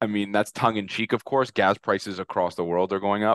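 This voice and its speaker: A man's dry, close voice with no echo and fairly even intonation. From Britain. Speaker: global macro strategist. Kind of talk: casual chat. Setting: video call with headset.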